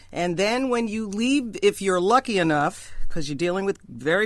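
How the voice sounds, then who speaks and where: Recorded very cleanly against a silent background, the speaker talks at a moderate pace with lively intonation in a New York accent. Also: woman. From New York, Queens. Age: 60s. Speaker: jazz singer. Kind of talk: casual chat. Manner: animated.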